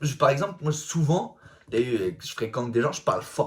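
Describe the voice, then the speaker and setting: A man speaks with vocal fry. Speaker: comedic self-help influencer. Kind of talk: casual vlog monologue. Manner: loud, fast talking; casual slangy, vulgar speech.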